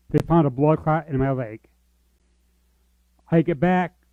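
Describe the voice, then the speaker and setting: A man talks at a moderate pace and fairly high pitch, with ordinary pitch variation, as music plays behind him. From US, military family, born in Georgia. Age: 40s. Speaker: church member sharing life story. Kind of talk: testimony.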